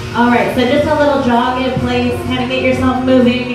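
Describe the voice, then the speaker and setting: A woman talks at a fairly quick pace in a high voice. Clear music plays in the background, and there is strong room echo. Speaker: fitness instructor. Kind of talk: live workout class instruction. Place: home room.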